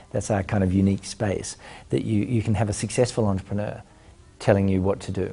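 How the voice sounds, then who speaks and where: At a very fast pace, a man with an Australian accent speaks in a somewhat breathy, dark, mellow tone at a fairly low pitch. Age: 40s. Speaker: entrepreneur and business mentor. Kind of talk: interview answers. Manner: hesitant with frequent fillers.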